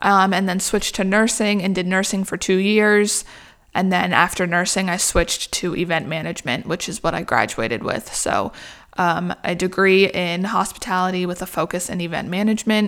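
In a very clean recording with a silent background, a woman has an ordinary speaking voice at a medium pitch, with fairly even intonation and a moderate pace. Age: 20s. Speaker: small business owner, wedding invitation designer. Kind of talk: casual monologue podcast. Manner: casual, filler-heavy with frequent laughs.

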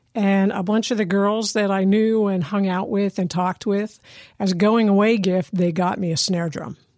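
In an American accent, a woman with a plain, everyday voice speaks at a moderate pace and medium pitch, her intonation fairly even. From US Northeast, Lehigh Valley, Pennsylvania. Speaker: musician and drum circle leader. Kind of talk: interview, personal story.

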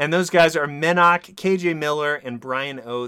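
A man's voice at a fairly high pitch. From Texas. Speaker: podcast host. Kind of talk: casual chat; scripted narration.

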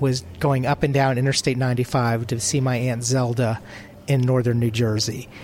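At a moderate pace, a man speaks at a medium pitch. Noticeable background noise is present. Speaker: travel writer. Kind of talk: interview at conference. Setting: conference showcase.

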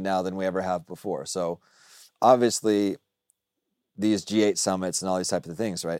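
In a very clean recording with a silent background and a dry, close sound without echo, a man with an American accent and a dark, mellow tone talks at a fairly quick pace. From US South, Dallas. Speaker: freelance journalist. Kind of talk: casual chat. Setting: studio.

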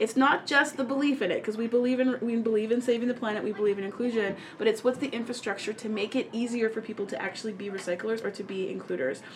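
A woman speaks in an animated tone at a fairly high pitch, with ordinary pitch variation and noticeable background noise. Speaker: podcast host. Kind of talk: casual chat.

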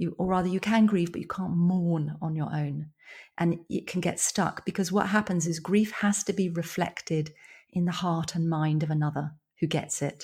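A woman with a southern English accent speaks at a fairly low pitch, somewhat breathy and with fairly even intonation. The recording is very clean, with a silent background. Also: moderate pace. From England, London and countryside. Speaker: psychotherapist and author. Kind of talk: interview.

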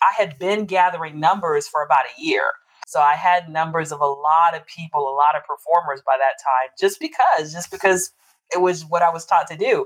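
A woman with an American accent and an unremarkable speaking voice, fairly low-pitched with ordinary pitch variation, at a fairly quick pace. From Texas and Louisiana (US South). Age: 50s. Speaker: poet and podcast host. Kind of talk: interview conversation.

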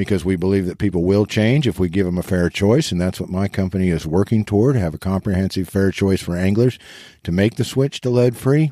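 In a very clean recording with a silent background, the voice has a dark, mellow tone, ordinary pitch variation and an American accent. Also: man. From Eastern Kansas. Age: 50s. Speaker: lead-free fishing advocate. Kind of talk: interview.

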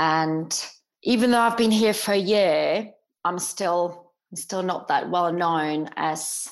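Speaking very slowly, a woman with a Czech accent uses a fairly low pitch and ordinary pitch variation. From Czech Republic. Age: 40s. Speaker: personal trainer. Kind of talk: coaching call. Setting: video call.

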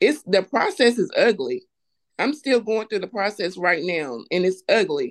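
Using an American accent, a woman speaks at a moderate pace with vocal fry and very wide pitch swings. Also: medium pitch for a woman. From North Carolina, US South. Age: 40s. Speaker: clothing business owner. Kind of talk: personal testimony in interview.

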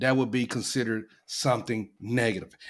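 The speech moves at a moderate pace, captured in a very clean recording against a silent background. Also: man. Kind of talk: heated debate.

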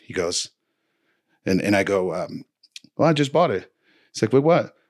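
A man with a Spanish accent and lively intonation, on a very clean recording with a silent background. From Dominican Republic, later New Jersey. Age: 40s. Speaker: snowboard coach. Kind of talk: casual chat. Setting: studio.

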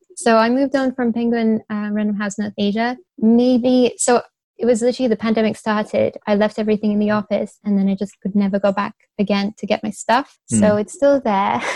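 Recorded dry and close with no echo, a woman speaks in a dark, mellow tone with fairly even intonation. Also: fairly high pitch for a woman, fairly quick pace. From Beijing, China (Russian heritage). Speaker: literary agent, former publishing editor. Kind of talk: casual interview chat.

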